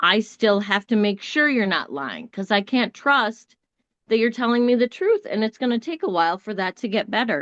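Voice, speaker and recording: At a moderate pace, a woman talks with a fairly high pitch and ordinary pitch variation, recorded dry and close with no echo. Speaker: podcast guest, mother. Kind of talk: casual chat. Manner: loud; calm when serious.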